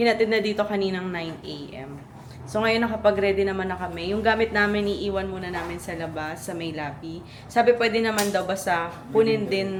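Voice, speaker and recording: Over noticeable background noise and audible room echo, a woman of medium pitch talks at a fairly quick pace in an animated tone with ordinary pitch variation. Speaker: travel vlogger. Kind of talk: casual travel vlog.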